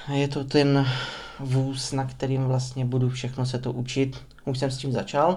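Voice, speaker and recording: A man talks at a fairly slow pace in a monotone, flat intonation, with audible room echo around him. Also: medium pitch for a man. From Czech Republic, Prostějov (Moravia). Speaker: podcaster. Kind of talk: unscripted monologue. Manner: rambling, talkative.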